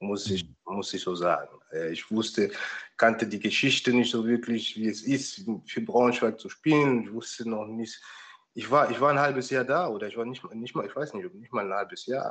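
Lively intonation and big swings in loudness mark this man's medium-pitched voice. He keeps a moderate pace. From Germany, Palatinate (Pfalz). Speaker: former professional footballer. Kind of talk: interview. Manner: halting, many repetitions and fillers.

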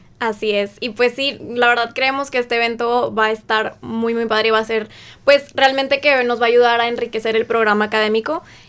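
This woman's fairly high voice stays monotone, with flat intonation throughout. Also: fairly quick pace. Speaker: university student. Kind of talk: radio interview.

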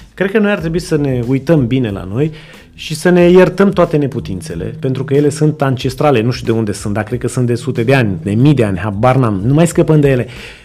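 Very wide pitch swings mark this man's medium-pitched voice as he talks at a fairly quick pace against noticeable background noise. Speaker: entrepreneur and business mentor. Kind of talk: interview.

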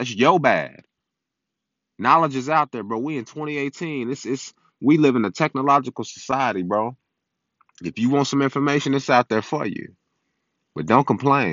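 With long, frequent pauses, a man talks at a moderate pace and medium pitch, his pitch varying in an ordinary way. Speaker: podcast host. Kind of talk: solo monologue podcast. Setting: recording on a phone. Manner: animated.

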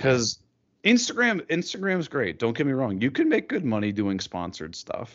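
At a moderate pace, a man with a Midwestern accent speaks at medium pitch with very wide pitch swings. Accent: general American Midwest. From Ohio, US Midwest. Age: 30s. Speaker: YouTuber and podcaster.

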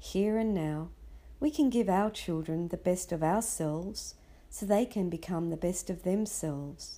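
A woman's fairly low, dark and mellow voice with an Australian accent, lively intonation and a fairly slow pace, on a very clean recording with a silent background. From Sydney, Australia. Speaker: parenting podcaster. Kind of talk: scripted narration.

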